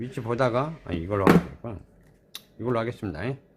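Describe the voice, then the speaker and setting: A man speaks with music in the background. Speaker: shop owner demonstrating products. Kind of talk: product tutorial. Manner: casual, repetitive.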